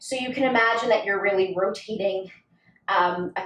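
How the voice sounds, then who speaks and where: A woman at a medium pitch uses ordinary pitch variation, with audible room echo around her voice. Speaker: pilates instructor. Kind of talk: guided workout instruction. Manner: counting rhythmically.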